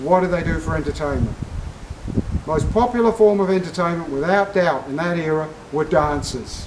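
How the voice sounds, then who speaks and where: Speaking with an Australian accent, a man with a high pitch and ordinary pitch variation is heard over noticeable background noise. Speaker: military history presenter. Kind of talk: casual talk to camera.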